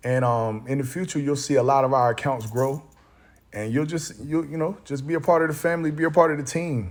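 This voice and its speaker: Speaking at a fairly quick pace, a man has a fairly high pitch and ordinary pitch variation. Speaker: stock market YouTuber. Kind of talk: reading aloud; casual chat. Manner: halting, repeats words when reading; casual, informal.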